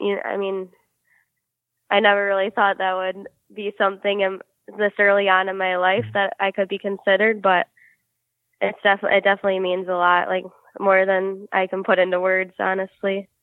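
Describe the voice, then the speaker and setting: Speaking at a fairly quick pace, a woman with an American accent keeps a medium pitch and monotone, flat intonation. She takes long, frequent pauses. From Michigan, Detroit area. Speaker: professional hockey player. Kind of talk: interview.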